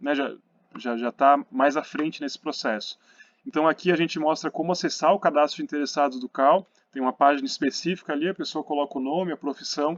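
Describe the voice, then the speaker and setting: A man's fairly high pitch, at a fairly quick pace, with fairly even intonation. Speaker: architecture council commission presenter. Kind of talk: presentation. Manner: fast; hesitant with many fillers.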